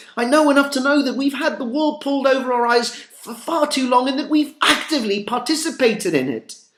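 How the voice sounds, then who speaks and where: A man speaks at an extremely high pitch with fairly even intonation. He keeps a fairly quick pace with hardly any pauses over noticeable background noise. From Mexico, Monterrey. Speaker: vlogger. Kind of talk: personal appeal monologue. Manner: halting, repeats words.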